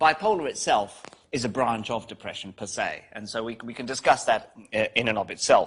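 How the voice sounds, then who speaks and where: A man with a British accent speaks at a medium pitch. His loudness swings widely. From UK. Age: 50s. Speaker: psychiatry professor. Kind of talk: guest lecture.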